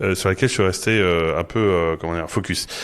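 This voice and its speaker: In a very clean recording with a silent background, a man talks. His pitch is very deep and low, varying in an ordinary way. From Paris, France. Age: 40s. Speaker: marketing executive. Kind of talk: podcast interview. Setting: studio. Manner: halting, many repetitions and fillers.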